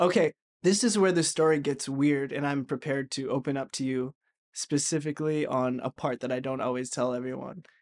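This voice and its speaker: Here is a man with a plain, everyday voice, a fairly high pitch and ordinary pitch variation at a fairly quick pace. The sound is dry and close with no echo, over a quiet background. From Vancouver, Canada. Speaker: actor and writer. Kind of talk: casual chat, storytelling.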